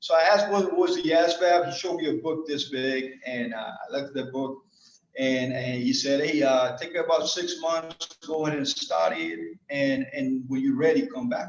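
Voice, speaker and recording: A man talks with a Colombian accent at a moderate pace. His pitch variation is ordinary, with music in the background. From Medellin, Colombia. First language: Spanish. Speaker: Air Force master sergeant, squadron superintendent. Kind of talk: personal life story told to an audience.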